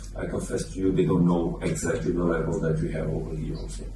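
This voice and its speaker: This man's voice is very deep and low, with very wide pitch swings. The room echo is audible, and there's noticeable background noise. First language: Portuguese. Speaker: football coach. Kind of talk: press conference. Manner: halting.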